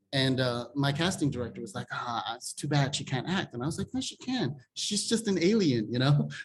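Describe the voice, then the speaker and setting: A man talks in a fairly high pitch with a somewhat breathy sound. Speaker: film director. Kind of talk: interview. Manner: conversational, many fillers.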